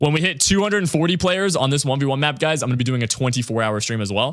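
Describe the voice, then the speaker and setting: Talking at a very fast pace with lively intonation, a man is heard on a very clean recording with a silent background. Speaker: gaming streamer. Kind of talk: casual live stream chat. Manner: animated.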